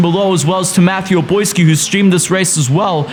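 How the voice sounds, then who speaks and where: Over noticeable background noise and with audible room echo, a man talks at a fairly quick pace. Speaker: sim racing commentator. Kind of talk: race highlights commentary.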